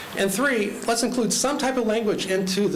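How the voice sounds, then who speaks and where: A man talking at a fairly quick pace with ordinary pitch variation, amid noticeable background noise and audible room echo. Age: 60s. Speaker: resident speaking at public comment. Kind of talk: public comment at county meeting. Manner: fast.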